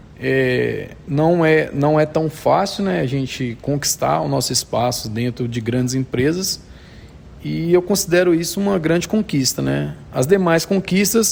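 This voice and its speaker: Over noticeable background noise, a man with a fairly high pitch talks at a fairly slow pace with lively intonation. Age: 30s. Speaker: technical instructor, automation engineer. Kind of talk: interview. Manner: halting, many fillers.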